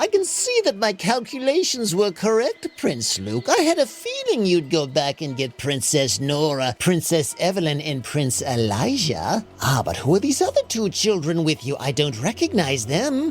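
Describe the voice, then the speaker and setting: A man's put-on character voice, high pitch, moderate pace, clear background noise. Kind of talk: bedtime story villain. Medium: read story. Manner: haughty, condescending.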